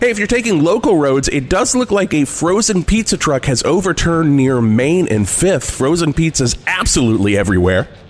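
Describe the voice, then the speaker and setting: Music in the background behind a man talking at a fairly quick pace, with very wide pitch swings and hardly any pauses. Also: fairly high pitch for a man, very even loudness. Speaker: radio host, comedian. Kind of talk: classic rock radio DJ break with comedic banter.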